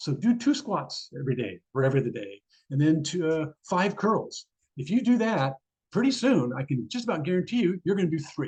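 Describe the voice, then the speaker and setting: This man's voice is high-pitched and swings very widely in pitch. He talks at a fairly quick pace. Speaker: neurologist. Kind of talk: lecture. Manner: fast.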